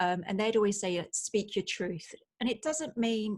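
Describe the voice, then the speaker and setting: A woman with a British accent, at a moderate pace with ordinary pitch variation. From UK. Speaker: writer and former nurse. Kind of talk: podcast interview.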